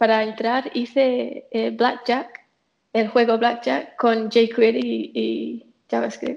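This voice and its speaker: At a very slow pace, a woman speaks with an English accent. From England. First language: English (speaking Spanish). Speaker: software developer. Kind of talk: casual chat.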